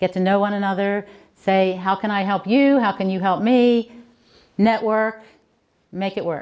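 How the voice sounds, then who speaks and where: Against a quiet background, a woman with an American accent talks at a moderate pace with fairly even intonation and long, frequent pauses. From Baltimore, Maryland. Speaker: author and book coach; book coach. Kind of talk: keynote speech. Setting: conference stage with audience. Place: hall. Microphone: handheld.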